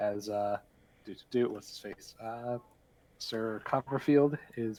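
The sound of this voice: The clip has an unforced reading voice and ordinary pitch variation.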